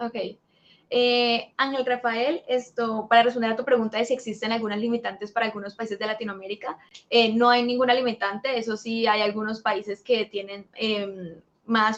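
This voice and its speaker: The speech runs at a very fast pace. Its intonation is fairly even. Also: woman. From Colombia. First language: Spanish. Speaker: assistant and Spanish interpreter. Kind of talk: live Q&A stream. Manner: hesitant, with many fillers.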